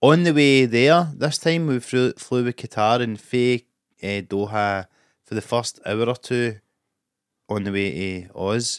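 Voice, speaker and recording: On a very clean recording with a silent background and dry, close sound without echo, a man with a Scottish accent speaks at a fairly slow pace, medium pitch and ordinary pitch variation. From Scotland. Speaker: comedian. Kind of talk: casual chat.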